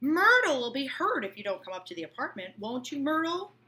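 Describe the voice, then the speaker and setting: Putting on a character voice, a woman speaks high, raised and projected, at a fairly quick pace with very wide pitch swings. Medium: read story. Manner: decisive, blunt.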